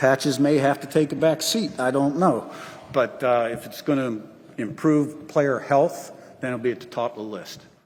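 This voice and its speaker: A man talks in a plain, everyday voice at a fairly high pitch and moderate pace. His pitch variation is ordinary, but his loudness swings widely. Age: 60s. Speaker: college football head coach. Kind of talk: press conference Q&A. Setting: media day podium with audience.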